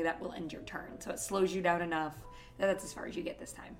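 Over music in the background, a woman speaks at a medium pitch with an American accent. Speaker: dungeon master, podcast host. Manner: casual, chatty narration.

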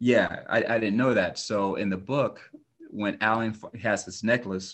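A man with an American accent has an ordinary speaking voice, fairly low in pitch. He talks at a moderate pace with fairly even intonation. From California (Oxnard). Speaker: author and actor. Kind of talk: casual interview.

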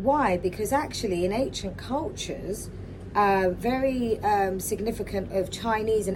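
The intonation here is lively. Noticeable background noise can be heard. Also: woman. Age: 40s. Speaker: spiritual wellness podcaster. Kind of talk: solo podcast monologue.

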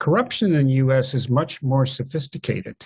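Somewhat breathy male speech at a moderate pace, fairly even in intonation, in a very clean recording with a silent background. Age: old. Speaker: economic historian, professor. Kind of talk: interview.

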